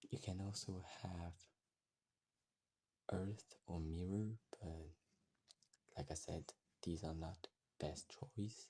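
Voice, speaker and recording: Talking in a strong French accent, the speaker goes at a very slow pace with long, frequent pauses. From France. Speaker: gaming youtuber. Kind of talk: game guide tutorial. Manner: halting, frequent pauses.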